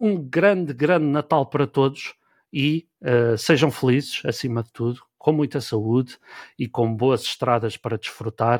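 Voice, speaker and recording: A man speaks at a fairly slow pace with ordinary pitch variation in a normal speaking voice. The recording is very clean with a silent background and a dry, close sound with no echo. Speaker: podcast host. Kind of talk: casual chat.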